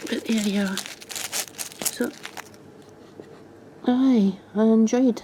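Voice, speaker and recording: Over noticeable background noise, a woman with a strong Scottish accent speaks very slowly at a fairly high pitch with fairly even intonation. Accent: very strong Scottish (Fife). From Scotland, Fife. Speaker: mudlarker, beachcombing video creator. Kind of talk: casual show-and-tell of finds. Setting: outdoors on beaches.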